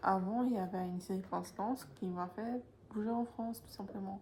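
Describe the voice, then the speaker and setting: Noticeable background noise runs behind the recording. Over it, a woman speaks at medium pitch with fairly even intonation. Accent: Polish. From Poland. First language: Polish (speaking French). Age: 20s. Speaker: vlogger. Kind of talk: casual vlog talk to camera. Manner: hesitant, many fillers.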